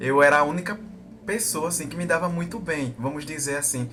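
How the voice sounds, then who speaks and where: At a fairly quick pace, the speech has lively intonation, with audible room echo and music in the background. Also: man. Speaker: vlogger. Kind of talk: personal testimony. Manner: hesitant, with fillers.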